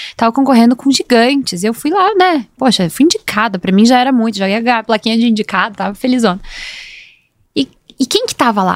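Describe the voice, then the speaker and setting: A woman talks at a fairly quick pace in a normal speaking voice, her intonation lively. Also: fairly high pitch for a woman, dry, close sound with no echo. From Brazil, Curitiba (Paraná). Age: 30s. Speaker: entrepreneur, former lawyer. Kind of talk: casual interview. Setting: studio.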